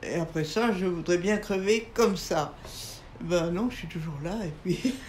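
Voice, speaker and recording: A woman at a very slow pace, with ordinary pitch variation and big swings in loudness, amid audible room echo and noticeable background noise. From France. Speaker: writer and painter. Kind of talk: interview conversation. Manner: halting.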